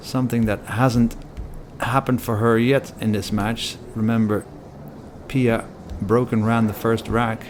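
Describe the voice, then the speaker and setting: Long, frequent pauses break up a man's fairly even intonation as he speaks in a non-native accent over noticeable background noise. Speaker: pool commentator. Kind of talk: live commentary.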